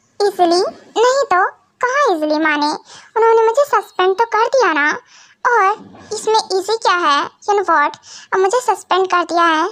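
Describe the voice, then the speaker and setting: A woman's put-on character voice, extremely high in pitch, at a moderate pace with very even loudness and long, frequent pauses. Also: lively intonation. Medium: solo performance. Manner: sharp, teasing.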